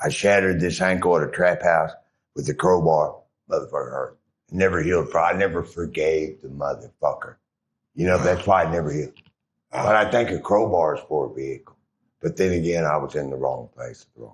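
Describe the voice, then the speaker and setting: At a fairly quick pace, a man speaks with big swings in loudness. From Oklahoma. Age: 60s. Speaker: interviewee, former addict. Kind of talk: interview storytelling. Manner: rambling, jumpy.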